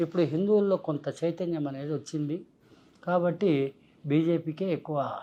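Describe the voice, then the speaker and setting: Fairly even intonation carries this man's high-pitched voice. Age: 70s. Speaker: spiritual figure and political predictor. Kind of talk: interview.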